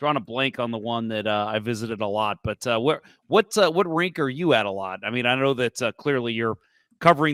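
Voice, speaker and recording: With an American accent, a man talks at a fairly quick pace and a medium pitch, his tone bright and sharp with ordinary pitch variation. The sound is dry and close with no echo, in a very clean recording with a silent background. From St. Louis, US Midwest. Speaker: podcast host. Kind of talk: podcast interview.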